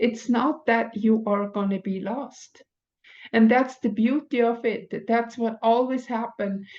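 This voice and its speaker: A fairly slow pace and fairly even intonation, with a non-native accent. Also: woman, fairly high pitch for a woman. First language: not English. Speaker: spiritual teacher. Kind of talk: oracle card reading monologue. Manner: halting.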